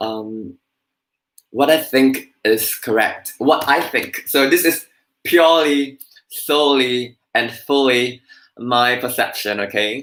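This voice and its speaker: Here a man talks at a very slow pace. His pitch is medium, with ordinary variation. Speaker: Buddhist speaker sharing personal experience. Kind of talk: live-stream talk. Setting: live stream. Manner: stammering, repeats words.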